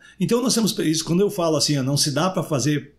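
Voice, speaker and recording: A man's fairly high voice at a fairly quick clip, with ordinary pitch variation, a plain, everyday voice, very clean recording and a silent background. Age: 60s. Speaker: retired police chief and city councillor. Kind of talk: podcast interview.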